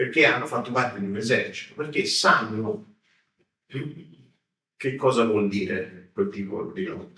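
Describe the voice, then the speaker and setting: A man in a Tuscan accent, bright, sharp tone, very slow pace, audible room echo. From Tuscany, Florence. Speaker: history professor. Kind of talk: lecture. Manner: hesitant, many fillers.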